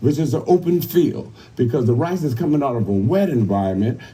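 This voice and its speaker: Speaking fairly quickly with an American accent, the man has a dark, mellow tone, a somewhat breathy quality and very wide pitch swings. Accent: Gullah Geechee. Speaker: cultural heritage presenter. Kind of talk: live historical presentation to a crowd.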